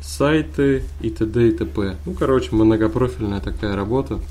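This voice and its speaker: A man with a fairly low voice speaks at a moderate pace. Audible room echo and noticeable background noise surround him. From Kazan, Tatarstan. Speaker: podcast co-host, university IT support worker. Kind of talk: casual chat.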